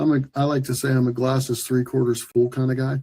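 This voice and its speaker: Speaking at a moderate pace, a man with an American accent has a fairly high pitch and a dark, mellow tone. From US Midwest, small-town Ohio. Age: 60s. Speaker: healthcare executive and former Marine. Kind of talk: interview. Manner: halting, with many repeated words.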